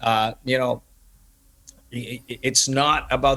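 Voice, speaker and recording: Speaking at a moderate pace, a man holds a medium pitch with monotone, flat intonation. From Kuwait. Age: 30s. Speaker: startup founder. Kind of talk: casual interview.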